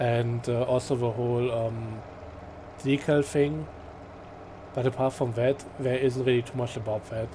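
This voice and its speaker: Amid noticeable background noise, a man speaks at a medium pitch in a flat monotone, with long, frequent pauses. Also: fairly slow pace. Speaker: gaming video creator. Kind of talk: let's play commentary. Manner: halting, frequent fillers; casual, relaxed.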